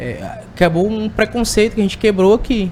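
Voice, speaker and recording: With a Tocantins accent, a man talks at a moderate pace against noticeable background noise. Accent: keeps Tocantins. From Tocantins, Brazil. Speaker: sales representative for agricultural machinery. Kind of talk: podcast interview. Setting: at an agricultural fair.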